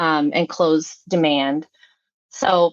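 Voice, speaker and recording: A woman with a Midwestern US accent speaks at a fairly low pitch. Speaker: startup marketing consultant and podcast host. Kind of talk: podcast interview chat. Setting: live session.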